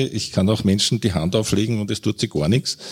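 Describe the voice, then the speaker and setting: A man with a Viennese accent, fairly low in pitch, with ordinary pitch variation at a moderate pace. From Austria, Vienna. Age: old. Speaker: physician, homeopathy society chair. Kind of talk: panel debate.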